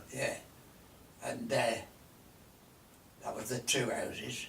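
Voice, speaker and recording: A man talks in a Lancashire accent. Noticeable background noise and audible room echo fill the recording. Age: 90s. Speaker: elderly local resident recalling the past. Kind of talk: casual reminiscing chat.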